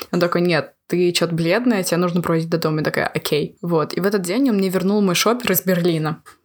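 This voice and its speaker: A woman with a fairly low pitch talks at a very fast pace with hardly any pauses, ordinary pitch variation and very even loudness. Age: 20s. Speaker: university student. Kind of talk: casual chat.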